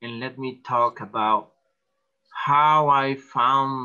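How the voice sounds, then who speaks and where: With ordinary pitch variation, a man talks in a Spanish accent. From El Salvador. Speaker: artist. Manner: halting.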